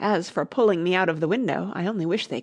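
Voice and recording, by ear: The clip is reading aloud in a natural voice with ordinary pitch variation.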